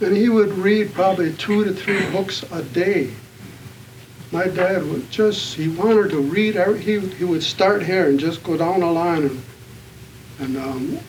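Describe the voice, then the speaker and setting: With an American accent, a man talks at a moderate pace in a high voice with ordinary pitch variation, amid noticeable background noise and audible room echo. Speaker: author and activist. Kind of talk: panel talk. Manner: halting.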